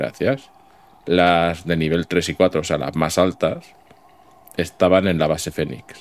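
A man's very deep, low-pitched voice. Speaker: gaming YouTuber. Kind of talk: let's play commentary. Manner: animated.

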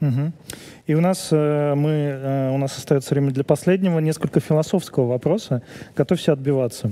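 This man has a fairly high pitch and a dark, mellow tone, speaking at a moderate pace. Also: ordinary pitch variation. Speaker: event host moderating Q&A. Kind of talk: casual banter and Q&A moderation. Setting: stage with audience. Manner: joking, playful. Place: studio. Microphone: headset.

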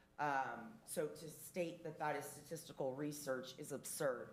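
At a very slow pace, a woman with a very deep, low pitch keeps a fairly even intonation, with audible room echo around her. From Portuguese heritage. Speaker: public commenter at council meeting. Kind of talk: public comment. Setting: city council meeting. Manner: loud.

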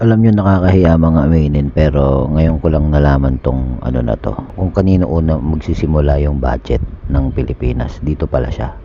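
A man's very deep, low voice comes fairly quickly, with ordinary pitch variation, against noticeable background noise. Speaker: video reaction channel host. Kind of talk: reaction commentary.

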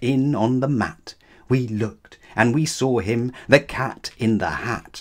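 This is plain reading aloud. The intonation is fairly even.

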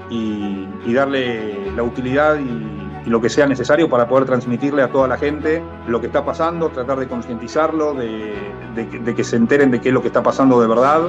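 A man speaks with lively intonation. Clear music plays in the background. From Argentina. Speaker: soccer broadcaster on radio and TV. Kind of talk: interview answer. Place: home room. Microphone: webcam.

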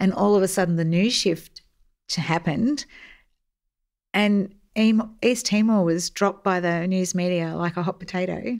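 The speaker moves at a fairly slow pace with ordinary pitch variation and long, frequent pauses, on a very clean recording with a silent background. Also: woman, medium pitch for a woman. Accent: Australian. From Australia, Melbourne. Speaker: army veteran, public affairs officer. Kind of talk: interview.

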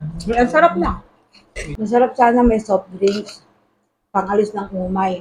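Somewhat breathy, a woman speaks at a fairly slow pace and medium pitch with ordinary pitch variation and long, frequent pauses. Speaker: vlogger. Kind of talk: casual cooking vlog.

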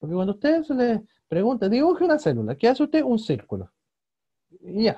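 The speaker moves at a fairly quick pace but leaves long, frequent pauses. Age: 20s. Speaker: teacher. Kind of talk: lecture.

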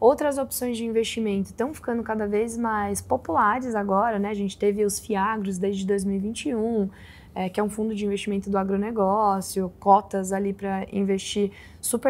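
A woman has a normal speaking voice at a medium pitch. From interior of São Paulo state, Brazil. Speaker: investment fund director; guest. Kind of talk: interview. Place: studio.

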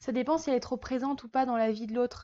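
Against a quiet background, a woman speaks at a high pitch with monotone, flat intonation. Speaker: vlogger host. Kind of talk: casual vlog chat. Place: home room. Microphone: lapel.

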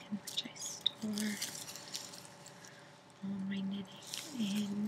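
Under loud background noise, the speaker goes at a very slow pace. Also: woman. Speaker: ASMR creator. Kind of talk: ASMR knitting tutorial. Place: home room. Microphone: webcam.

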